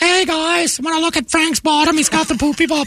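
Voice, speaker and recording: A put-on character voice chatters at a fairly quick pace and a high pitch. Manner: silly, comedic.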